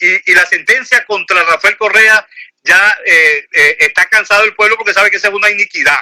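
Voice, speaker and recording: A man's high, raised and projected voice, animated and fairly quick, with ordinary pitch variation and a dry, close sound with no echo. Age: 60s. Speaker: lawyer and political commentator. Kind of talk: phone interview.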